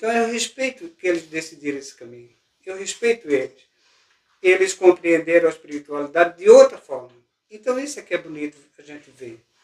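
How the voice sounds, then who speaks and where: A man talks at a fairly quick pace, with very wide pitch swings and big swings in loudness. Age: 60s. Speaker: spiritist speaker. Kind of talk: informal talk to a group. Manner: halting, repeats words.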